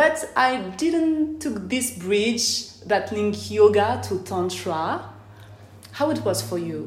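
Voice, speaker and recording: A very slow French accent with very wide pitch swings, audible room echo and noticeable background noise. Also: woman, medium pitch for a woman. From France. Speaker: podcast host. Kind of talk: interview; casual monologue. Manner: careful articulation.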